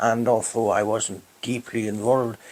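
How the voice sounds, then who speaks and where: A man with a Hebridean accent speaks at a fairly slow pace, his medium-pitched voice carrying a fairly even intonation. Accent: Hebridean Scottish. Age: old. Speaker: retired public official. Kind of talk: oral history interview.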